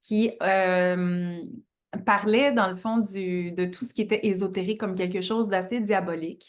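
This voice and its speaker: A woman in a Quebec accent, fairly slow and fairly even in intonation, medium in pitch, over a quiet background. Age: 30s. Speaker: astrologer. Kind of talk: interview.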